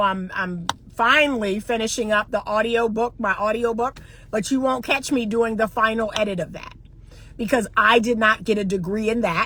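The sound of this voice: With ordinary pitch variation, a woman talks at a moderate pace in a fairly high pitch and a fairly bright tone.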